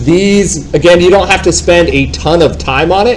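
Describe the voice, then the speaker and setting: There is noticeable background noise. Over it, a man speaks at a fairly slow pace with a fairly high pitch. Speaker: real estate software trainer. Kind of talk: live training class. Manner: loud.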